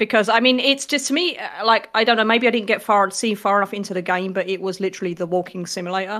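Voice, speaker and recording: A woman's very fast British-accented speech with hardly any pauses, a bright, sharp tone and ordinary pitch variation, in a very clean recording with a silent background. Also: medium pitch for a woman. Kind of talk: casual chat.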